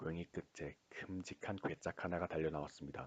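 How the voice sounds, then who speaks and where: The voice is soft-spoken with a calm tone. It moves at a moderate pace. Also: man. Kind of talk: bedtime story reading. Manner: soft-spoken, calm.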